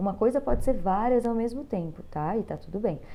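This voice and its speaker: A woman with a dark, mellow tone speaks at a fairly quick pace with lively intonation, and some room echo can be heard. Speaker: teacher. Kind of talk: lecture. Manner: fast; animated.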